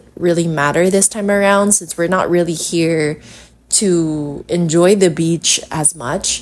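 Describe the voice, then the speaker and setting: In a Filipino accent, a woman speaks at a fairly slow pace with a fairly low pitch and fairly even intonation. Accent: Filipino (Hiligaynon) English. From Philippines, Iloilo City. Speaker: yoga instructor and podcast host. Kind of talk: casual solo podcast talk. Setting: recording while traveling, hotel in Boracay.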